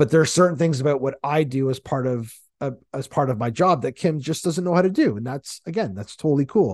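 Animated in tone, a man with a fairly high pitch talks at a fairly quick pace with lively intonation, his sound dry and close with no echo over a quiet background. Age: 40s. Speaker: podcast host and marketing consultant. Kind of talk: solo podcast monologue.

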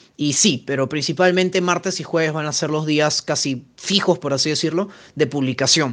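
A man talks at a moderate pace in an ordinary speaking voice. His pitch is fairly high, with ordinary pitch variation. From Peru. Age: 20s. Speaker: podcast co-host. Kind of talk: casual chat.

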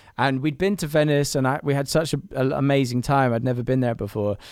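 A London accent at a fairly quick pace. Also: man. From London, Camden. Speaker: songwriter and producer. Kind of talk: interview. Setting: remote call from his studio.

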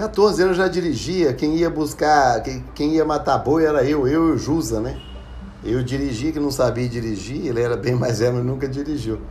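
There is audible room echo as a man speaks at a moderate pace, his fairly high pitch showing ordinary variation. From Brazil, Minas Gerais (Ribeirão das Neves). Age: 50s. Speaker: podcast host. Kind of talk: casual personal storytelling. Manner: halting, frequent fillers.

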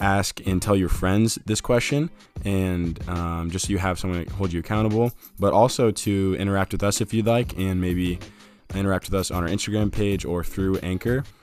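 Over music in the background, a man with a very deep, low pitch speaks at a moderate pace with an American accent. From US Midwest, Fort Wayne, Indiana. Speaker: podcast co-host. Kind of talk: casual chat.

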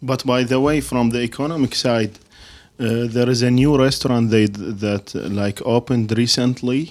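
In an Arabic accent, a man talks with fairly even intonation. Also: medium pitch for a man, moderate pace. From Iraq. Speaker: podcast co-host. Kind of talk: casual interview.

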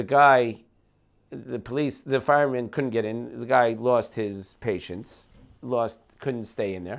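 A man with an American accent and a plain, everyday voice speaks at a fairly slow pace. His pitch is medium and his intonation fairly even, in a very clean recording with a silent background. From New Jersey, US. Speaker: podcast guest, long-time immigrant to Israel. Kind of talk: casual conversation over whiskey. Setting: at his home.

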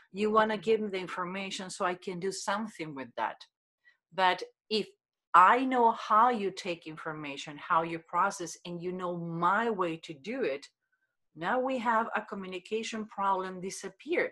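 Speaking at a moderate pace in a Spanish accent, a woman has a bright, sharp tone and a medium pitch with ordinary variation. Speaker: body language expert. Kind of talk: interview. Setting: video call.

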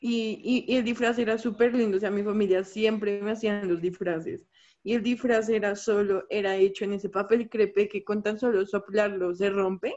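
Her voice sits at a medium pitch as the woman talks in a flat monotone. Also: moderate pace. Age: 20s. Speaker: graphic design student. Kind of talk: casual chat.

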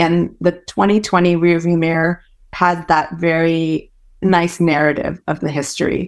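Someone speaks with a Californian accent at a fairly slow pace, in a monotone, flat intonation. The recording is very clean, with a silent background. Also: woman, fairly low pitch for a woman. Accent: general American, grew up in California. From Malaysia, then San Francisco Bay Area. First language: Hokkien. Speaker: startup co-founder. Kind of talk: casual interview.

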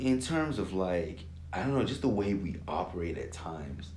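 Somewhat breathy, a man with an American accent talks at a moderate pace with ordinary pitch variation. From California, with teen years in Lagos, Nigeria. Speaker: engineering student. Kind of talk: casual chat.

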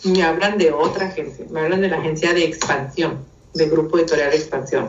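A woman with a northern Mexican accent speaks at a fairly low pitch. Her moderate pace comes through with audible room echo. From northern Mexico (Mexicali, Baja California). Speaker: communication and image consultant. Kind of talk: casual chat.

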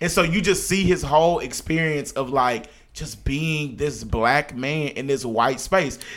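A plain, everyday voice. It moves at a fairly slow pace with ordinary pitch variation. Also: man, fairly high pitch for a man. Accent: American. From Texas, Oak Cliff (Dallas). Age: 30s. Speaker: podcast co-host. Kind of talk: casual chat.

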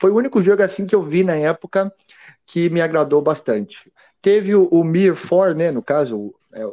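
This man's voice has a dark, mellow tone. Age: 30s. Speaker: game studio founder and ex pro gamer. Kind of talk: casual interview chat.

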